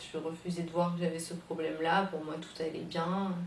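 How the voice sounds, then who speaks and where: There is noticeable background noise behind a woman whose pitch sits fairly low. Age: 20s. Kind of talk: personal testimony to camera. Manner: hesitant, emotional.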